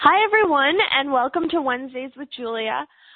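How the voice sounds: Doing a put-on character voice, a woman sounds squeaky and raspy at a high pitch, with lively intonation and a fairly quick pace.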